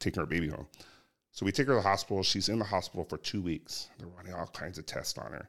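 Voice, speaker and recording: A man with an American accent, very deep and low in pitch, at a very fast pace, on a very clean recording with a silent background. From Southern California. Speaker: police sergeant. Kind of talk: casual interview.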